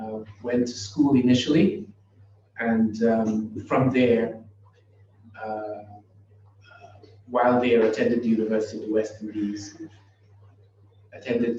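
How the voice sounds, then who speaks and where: A man with a Trinidadian accent talks at a moderate pace and medium pitch, with long, frequent pauses. His intonation is monotone and flat, and there is audible room echo. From Trinidad and Tobago. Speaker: professor. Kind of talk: lecture. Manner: halting, with many fillers.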